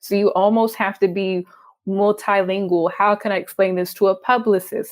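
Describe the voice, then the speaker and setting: A woman talks at a medium pitch. Her pace is moderate, her intonation fairly even. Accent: Texas. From Texas. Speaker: freelance journalist. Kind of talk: interview.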